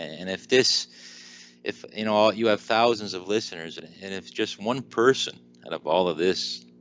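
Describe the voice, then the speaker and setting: A man speaks with a Newfoundland accent. His pitch is fairly low and his pace is moderate. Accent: Newfoundland Canadian. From Newfoundland, eastern Canada. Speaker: weight loss speaker and author. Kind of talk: podcast interview. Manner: halting.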